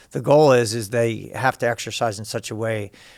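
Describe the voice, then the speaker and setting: Recorded very cleanly against a silent background, a man with an American accent talks at a medium pitch in a flat monotone. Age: 60s. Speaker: fitness coach. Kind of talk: interview.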